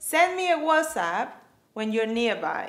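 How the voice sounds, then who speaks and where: Over music in the background, a woman uses a raised, projected voice at a high pitch with very wide pitch swings. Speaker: co-host practicing English pronunciation. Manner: reads practice sentences aloud.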